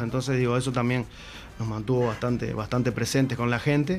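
A man talks at a very fast pace. His pitch is medium, and there is noticeable background noise. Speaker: musician. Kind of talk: casual interview chat.

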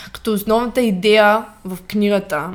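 Flat, monotone delivery creeps along very slowly. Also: woman. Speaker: fitness coach podcast co-host. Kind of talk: casual chat.

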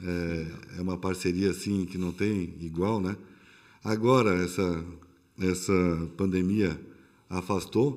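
His very deep, low voice moves at a very slow pace with fairly even intonation and long, frequent pauses. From São Paulo, Brazil. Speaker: restaurant owner, former corporate executive. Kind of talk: casual interview.

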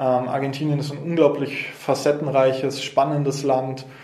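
A man at a fairly high pitch and moderate pace, monotone and flat in intonation, with noticeable background noise and audible room echo. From Nuremberg, Franconia, Germany. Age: 20s. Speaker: local politician. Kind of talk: interview. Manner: hesitant, many fillers.

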